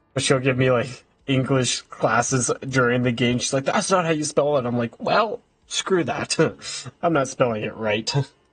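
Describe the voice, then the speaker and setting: With a Canadian accent, a man speaks at a moderate pace in a medium pitch, somewhat breathy, with ordinary pitch variation. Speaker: video game streamer. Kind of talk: casual live stream chat. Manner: halting, stumbling over words; casual, chatty.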